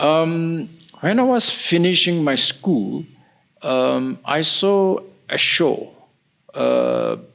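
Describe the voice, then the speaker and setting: The speaker goes at a very slow pace with long, frequent pauses and very even loudness. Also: man. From Nagaland, northeast India. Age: 70s. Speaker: historian and peace activist. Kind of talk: interview.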